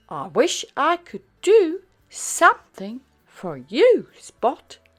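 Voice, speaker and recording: The put-on character voice is high-pitched and delivered at a very slow pace. The recording is very clean, with a silent background. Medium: read story.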